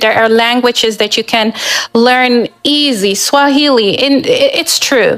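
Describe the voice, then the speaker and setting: Speaking at a fairly slow pace, a woman with a non-native accent uses a high pitch. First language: not English. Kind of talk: panel discussion.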